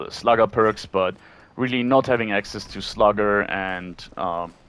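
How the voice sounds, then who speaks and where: A man with a non-native accent speaks at a moderate pace in a fairly low pitch. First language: not English. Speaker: gaming YouTuber. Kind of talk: gameplay commentary. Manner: hesitant, many fillers.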